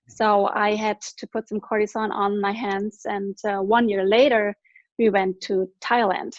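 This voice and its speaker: A woman with a German accent speaks at medium pitch with monotone, flat intonation and a fairly slow pace. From Germany. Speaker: product distributor giving testimony. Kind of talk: testimony.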